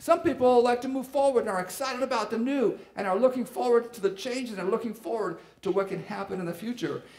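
The man's speech moves at a fairly quick pace. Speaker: pastor. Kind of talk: sermon. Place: church. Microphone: headset.

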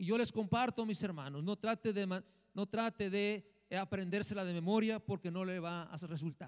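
A man speaks at a high pitch and a moderate pace with ordinary pitch variation. The background is quiet. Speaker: minister. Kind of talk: sermon. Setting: church. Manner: animated. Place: church. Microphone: handheld.

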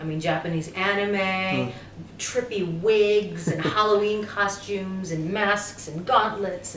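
Delivered at a fairly slow pace, the speech carries audible room echo over light background noise. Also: woman. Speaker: interviewee, actress guest at a convention. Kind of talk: interview answer. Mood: warm, cheerful, animated. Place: home room.

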